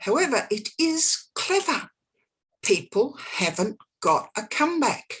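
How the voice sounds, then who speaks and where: Very slowly, a woman speaks at a fairly high pitch with very wide pitch swings. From Australia, Sydney Northern Beaches. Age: 60s. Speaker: psychic. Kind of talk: casual chat.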